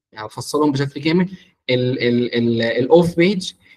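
A man's voice with lively intonation. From Egypt. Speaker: marketing mentor; media buying instructor. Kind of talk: online workshop; lecture. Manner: halting, with frequent repetitions. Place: home room. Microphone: video call.

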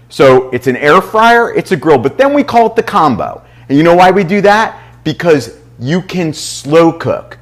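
A man speaks fairly slowly against a quiet backdrop. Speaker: chef host. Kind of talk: cooking show presentation. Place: kitchen. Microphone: lapel.

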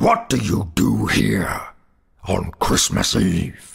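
A man puts on a raspy character voice with very deep, low pitch. He speaks at a very slow pace. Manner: stern, menacing.

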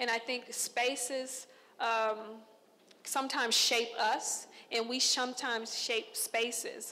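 Speaking very slowly with an American accent, a woman uses a high pitch and a bright, sharp tone, with ordinary pitch variation and very even loudness. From Texas, Conroe; Texas. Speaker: visual artist. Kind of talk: artist talk to an audience. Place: hall. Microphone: handheld.

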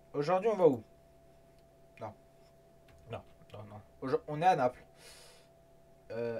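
A man's fairly high-pitched voice moves through very wide pitch swings. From France. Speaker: gaming YouTuber. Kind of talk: casual gameplay commentary. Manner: animated. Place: home room.

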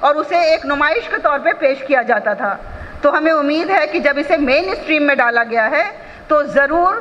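In a high voice, a woman talks at a fairly slow pace. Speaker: speaker. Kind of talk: formal speech. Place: hall. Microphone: podium.

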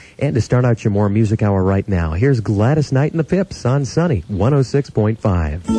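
With music in the background, a man speaks at medium pitch and a moderate pace, with lively intonation, hardly any pauses and very even loudness, in a dry sound with no echo. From Las Vegas, USA. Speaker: radio announcer. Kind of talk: radio station aircheck, on-air announcer patter. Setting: radio broadcast. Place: studio. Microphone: studio mic.

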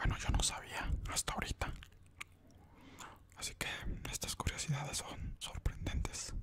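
A soft-spoken man whispers at a fairly slow pace. Noticeable background noise runs under his voice. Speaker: ASMR channel host. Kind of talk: soft-spoken ASMR trivia narration. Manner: close-mic soft whisper. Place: home room. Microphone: studio mic.

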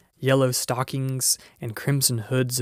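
This is an unforced reading voice. It carries straight through the clip.

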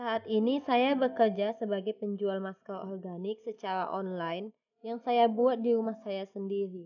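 Here a woman with a plain, everyday voice speaks at a moderate pace with hardly any pauses. Her pitch is fairly high and her intonation fairly even. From Batam, Riau Islands, Indonesia. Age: young. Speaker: student volunteer applicant. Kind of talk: self-introduction video. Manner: formal.

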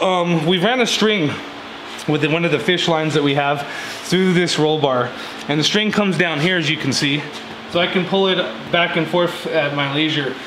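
Over noticeable background noise, a man with a high pitch talks at a moderate pace, leaving long, frequent pauses. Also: ordinary pitch variation. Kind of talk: tutorial. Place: garage. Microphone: camera far.

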